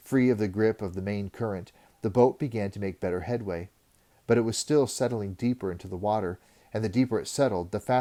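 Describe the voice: The pitch moves in an ordinary way. What you hear is plain reading aloud.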